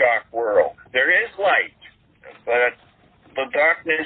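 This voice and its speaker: A man is speaking. His pace is fairly slow. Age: 60s. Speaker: exorcist clergyman. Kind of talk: interview. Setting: podcast interview. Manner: halting, many fillers.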